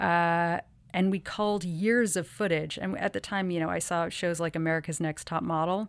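An ordinary speaking voice from a woman, fairly low in pitch, comes at a fairly quick pace with ordinary pitch variation on a very clean recording with a silent background. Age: 30s. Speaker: model and activist. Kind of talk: interview.

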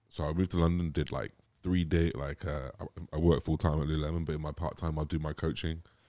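Speaking very fast, a man with a very deep, low pitch and a dark, mellow tone keeps a monotone, flat intonation. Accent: southern English. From England, Gloucestershire (Cotswolds). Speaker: bodybuilder. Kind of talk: casual chat. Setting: outdoor studio.

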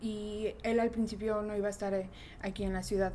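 A woman at medium pitch speaks at a moderate pace with a dark, mellow tone and monotone, flat intonation, and audible room echo surrounds her voice. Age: 20s. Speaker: bank IT worker. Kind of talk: group interview.

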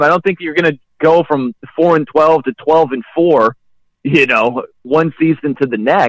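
A normal speaking voice at a moderate pace, dry and close with no echo. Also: man. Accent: American. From Indiana (South Bend), US Midwest. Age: 40s. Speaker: sports radio host. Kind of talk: casual interview.

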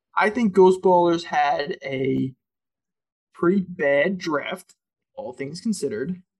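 Very slowly and with long, frequent pauses, a man speaks in a high voice with ordinary pitch variation. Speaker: co-host. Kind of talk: casual sports podcast recap.

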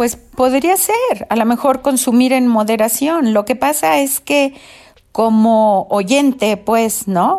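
Speaking at a very slow pace, a woman uses a high pitch, lively intonation and very even loudness. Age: 70s. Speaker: host's mother, COVID-19 patient. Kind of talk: interview testimony.

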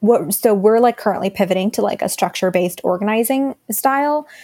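With an American accent and an unremarkable speaking voice, a woman talks at a fairly high pitch with ordinary pitch variation, the sound dry and close with no echo. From Texas, Dallas. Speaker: climate activist, communications staffer. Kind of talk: interview.

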